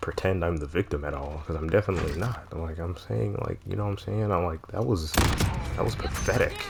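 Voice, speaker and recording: A man's very deep, low voice with lively intonation, a moderate pace and noticeable background noise. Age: 20s. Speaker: gaming vlogger. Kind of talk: personal confessional monologue. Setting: talking over gameplay recording.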